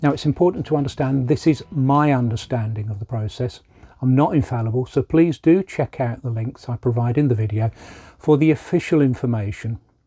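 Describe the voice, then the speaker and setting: A man with a medium-pitched, dark, mellow, somewhat breathy voice speaks at a fairly quick pace with ordinary pitch variation, in a dry, close sound with no echo. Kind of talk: informational talk to camera.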